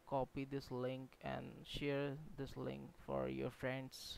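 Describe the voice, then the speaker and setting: This man speaks with a non-native accent. His pace is very slow. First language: not English. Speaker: game developer YouTuber. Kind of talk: tutorial. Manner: halting.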